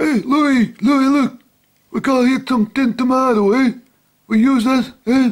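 A man uses a put-on character voice. He talks at a fairly slow pace with an extremely high pitch.

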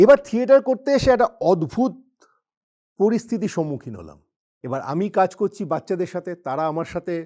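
A man's high-pitched voice with a dark, mellow tone and very wide pitch swings, in a very clean, dry, close recording with a silent background and no echo. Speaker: actor and businessman. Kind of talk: motivational talk.

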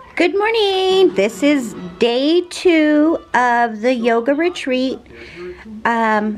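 A woman with a high voice speaks at a very slow pace. Faint music sits in the background. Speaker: travel vlogger. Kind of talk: casual vlog chat. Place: home room. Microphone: phone near.

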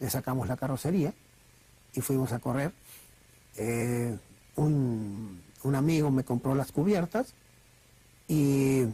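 A man's somewhat breathy voice with a dark, mellow tone, medium pitch and ordinary pitch variation, at a very slow pace with long, frequent pauses. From Argentina. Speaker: racing driver. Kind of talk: interview answer. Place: studio.

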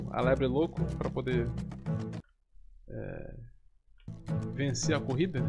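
Loud music plays in the background. A man talks with long, frequent pauses. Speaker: gaming YouTuber. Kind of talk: casual gameplay commentary to camera. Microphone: studio mic.

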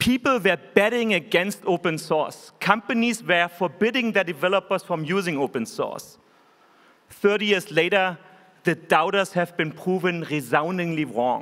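A high-pitched man with a German accent, lively intonation and a moderate pace, over a quiet background. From Germany. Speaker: tech company executive. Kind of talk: keynote speech. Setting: stage with audience. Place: hall. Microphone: podium.

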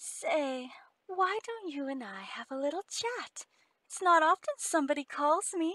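This put-on character voice has a fairly bright tone, big pitch swings and a fairly slow pace. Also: woman, high pitch for a woman.

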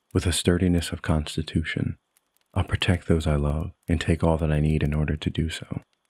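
Speaking at a fairly quick pace, a man uses a very deep, low pitch and a solemn tone. His intonation stays monotone and flat. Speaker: poet. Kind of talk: poetry reading, performed spoken word. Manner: measured, solemn.

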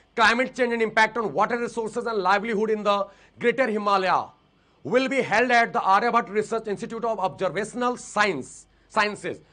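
A man projects his voice at a high pitch with a bright, sharp tone. His intonation stays fairly even. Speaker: exam-prep teacher. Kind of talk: live online lecture. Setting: live online class. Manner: informal, chatty with students.

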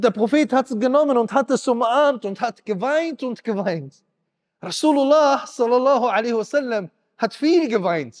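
A man speaks at an extremely high pitch with ordinary pitch variation. His pace is moderate, and the background is quiet. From Germany. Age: 30s. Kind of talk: sermon. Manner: emotional, impassioned. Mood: emotional, animated. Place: hall. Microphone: handheld.

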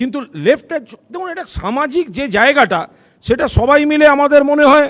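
A man speaks in an extremely high voice with an animated tone. His pitch variation is ordinary. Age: 50s. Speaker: political spokesperson. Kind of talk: heated debate.

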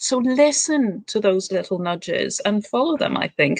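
In a dry sound with no echo and a quiet background, a woman speaks at a fairly high pitch with lively intonation. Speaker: wellbeing group host. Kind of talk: interview. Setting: video call. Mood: warm, encouraging. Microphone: video call.

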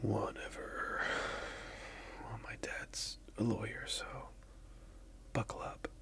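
A man is whispering. His tone is smug. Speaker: content creator. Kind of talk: roleplay skit addressed to the viewer. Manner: soft close-mic voice, smug role-play. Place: home room.

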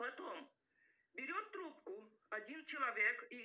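Her pitch swings very widely as a woman talks in a non-native accent. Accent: foreign-tinged accent in Russian. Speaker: vlogger. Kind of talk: emotional self-defense monologue. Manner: halting, many fillers.

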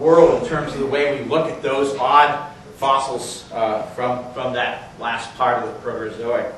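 A man is speaking. Room echo is audible, along with light background noise. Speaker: geology professor. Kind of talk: speaker introduction at a lecture. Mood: warm, admiring. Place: classroom. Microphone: camera far.

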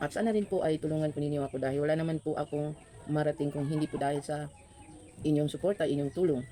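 Against noticeable background noise, a woman speaks very fast in a very deep, low voice with fairly even intonation. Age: old. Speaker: food vlogger. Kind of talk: mukbang vlog. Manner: eating while talking.

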